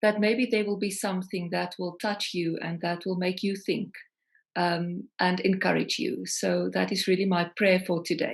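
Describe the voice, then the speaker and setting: A woman with a South African accent speaks at a medium pitch and a moderate pace. Her intonation stays fairly even against a quiet background. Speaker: singer-songwriter. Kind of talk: interview.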